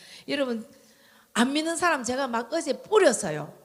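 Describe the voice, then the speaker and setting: A woman at a moderate pace in a strong Gyeongsang accent. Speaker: church member giving testimony. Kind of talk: testimony.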